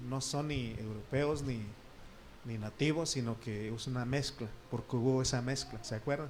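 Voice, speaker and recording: Over noticeable background noise and audible room echo, a man with an Oaxacan accent speaks at a fairly slow pace in a medium pitch with fairly even intonation. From Oaxaca, Mexico. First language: Triqui (speaking Spanish). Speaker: pastor. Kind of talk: sermon. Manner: conversational, asks the congregation questions.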